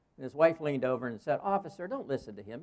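A man talks in a fairly high pitch with vocal fry. His pitch swings very widely. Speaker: guest pastor. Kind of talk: sermon. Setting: church.

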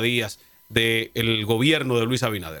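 The man talks at a fairly slow pace. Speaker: talk show host. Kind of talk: casual chat.

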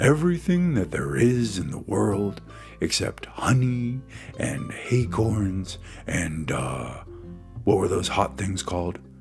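Over clear background music, a man uses a put-on character voice, fairly low in pitch and fairly slow in pace. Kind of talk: comic character voice. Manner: cheerful, bouncy, boastful.

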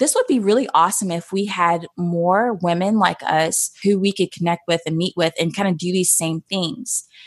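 A woman's unremarkable speaking voice, medium in pitch, with ordinary pitch variation, a moderate pace and hardly any pauses. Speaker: photographer, community founder. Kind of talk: interview. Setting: podcast interview.

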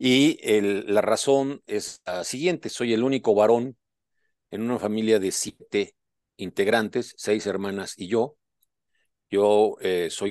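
At a very slow pace and with ordinary pitch variation, the voice comes through with a dry, close sound, no echo and a quiet background. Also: man. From Puebla, Mexico. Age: 60s. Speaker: doctor and author, amputee. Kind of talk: personal life-story interview. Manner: hesitant with frequent repetitions.

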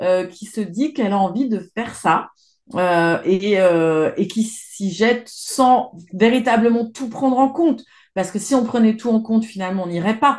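Against a quiet background, a woman speaks at a fairly slow pace in a fairly high voice with ordinary pitch variation. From France, Isère and Savoie (Alps). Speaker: environmental journalist. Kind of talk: interview. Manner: hesitant with fillers.

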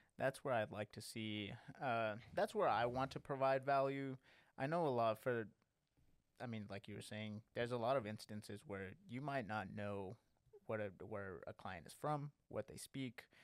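This man has an unremarkable speaking voice with an American accent, a medium pitch and ordinary pitch variation, at a moderate pace. His loudness swings widely, and the sound is dry and close with no echo. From Lubbock, Texas. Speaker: financial paraplanner. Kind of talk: casual chat.

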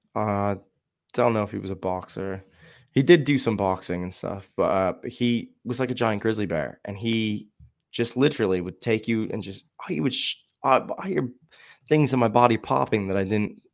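A man speaks at a moderate pace in an ordinary speaking voice. His pitch sits in the medium range with ordinary variation, and the recording is very clean with a silent background. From Shamokin, Pennsylvania. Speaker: guest. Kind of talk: casual chat.

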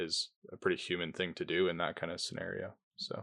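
Recorded with a dry, close sound and no echo, a man speaks against a quiet background. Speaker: podcast co-host. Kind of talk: casual chat.

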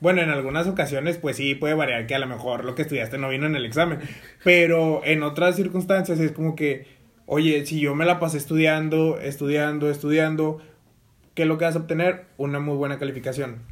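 A man's unremarkable speaking voice, fairly high in pitch, at a fairly quick pace with fairly even intonation. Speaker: podcast co-host, business administration student. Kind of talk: casual chat.

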